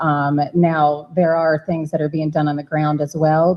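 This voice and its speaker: Here a woman speaks with a Georgia accent. Her voice is very deep and low, and her pace is moderate. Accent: Georgia twang. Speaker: charter school applicant representative. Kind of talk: board meeting Q&A.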